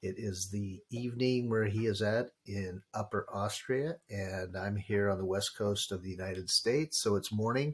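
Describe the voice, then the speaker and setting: With an American accent, a man talks at a fairly low pitch, somewhat breathy, using ordinary pitch variation and hardly any pauses. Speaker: podcast co-host. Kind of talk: casual chat. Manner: slow at the start.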